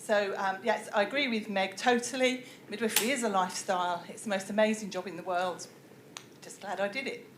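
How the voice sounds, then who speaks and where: Speaking with a British accent at medium pitch and a fairly quick pace, a woman keeps fairly even intonation amid big swings in loudness, audible room echo, and noticeable background noise. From UK. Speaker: professor. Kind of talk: lecture.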